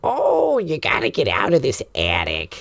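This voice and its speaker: Someone performs a put-on character voice. The pace is moderate. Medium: actual play. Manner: bossy, fussing.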